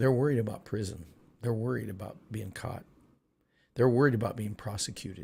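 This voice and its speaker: A man's voice comes through somewhat breathy. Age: 60s. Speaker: political commentary streamer. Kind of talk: live stream monologue. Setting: live stream. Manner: animated.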